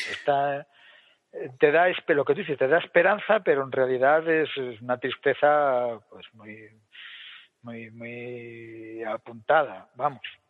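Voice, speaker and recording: With big swings in loudness, a man of medium pitch and ordinary pitch variation talks at a very slow pace. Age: 50s. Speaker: podcast co-host. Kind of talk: casual chat. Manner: animated.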